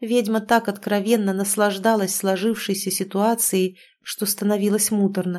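Someone reads aloud in a natural voice, keeping a fairly even intonation.

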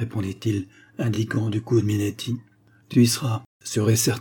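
The voice heard here is a natural reading voice.

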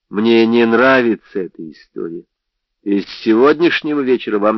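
A quiet background behind plain reading aloud, its pitch variation ordinary

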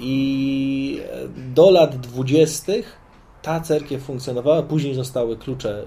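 This man has a medium-pitched voice with a dark, mellow tone. It comes across as somewhat breathy. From Poland, Sosnowiec (Zagłębie Dąbrowskie). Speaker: Orthodox priest. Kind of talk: interview. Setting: outdoors on a veranda.

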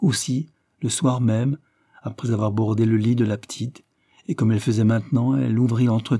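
Reading aloud in a natural voice, with fairly even intonation against a quiet background.

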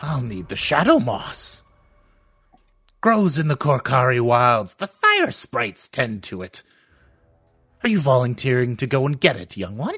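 A loud, shrill put-on character voice from a man at medium pitch, broken by long, frequent pauses. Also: moderate pace, lively intonation. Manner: loud, cryptic.

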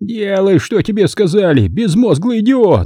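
A man's put-on character voice, whiny and shrill at a high pitch, with ordinary pitch variation and a moderate pace. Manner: whining, shrill.

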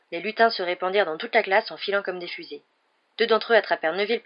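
Pitch varies in an ordinary way as someone reads aloud in a natural voice. Behind this, the background is quiet.

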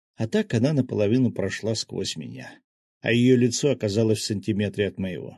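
Against a quiet background, the clip is reading aloud in a natural voice with ordinary pitch variation.

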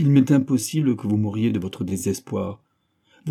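The setting is quiet while a natural voice reads aloud.

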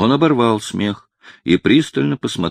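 Plain reading aloud comes through over a quiet background.

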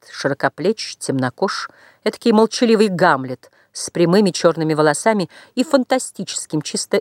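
With lively intonation, a person reads aloud in a natural voice over a quiet background.

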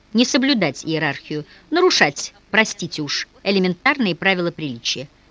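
The clip features an unforced reading voice.

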